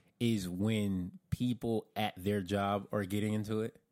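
A man with a plain, everyday voice, fairly low-pitched, in an American accent, at a fairly slow pace with fairly even intonation, in a dry, close sound with no echo. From US South (Florida). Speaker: podcast co-host. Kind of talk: casual chat.

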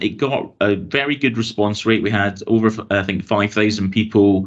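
The speaker has a Glaswegian accent. The intonation stays fairly even. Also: man. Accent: Glaswegian Scottish. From Glasgow, Scotland. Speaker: transport authority consultation lead. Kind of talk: casual interview. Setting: video call.

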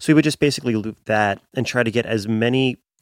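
On a very clean recording with a silent background, a man with an American accent uses an ordinary speaking voice with ordinary pitch variation, the sound dry and close with no echo. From Pennsylvania. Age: 30s. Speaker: music producer and drummer. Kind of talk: casual interview chat.

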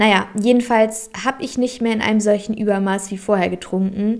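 A woman's voice at medium pitch. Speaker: spiritual podcast host. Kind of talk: solo podcast monologue.

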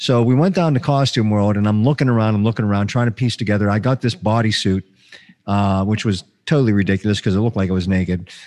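Speaking at a very fast pace, a man uses a fairly low voice with ordinary pitch variation. His loudness stays very even. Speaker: podcast host. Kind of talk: casual chat. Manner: halting.

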